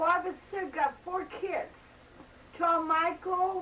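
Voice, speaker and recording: Amid noticeable background noise, a woman talks at a very slow pace. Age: 70s. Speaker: family member being interviewed. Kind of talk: casual family interview.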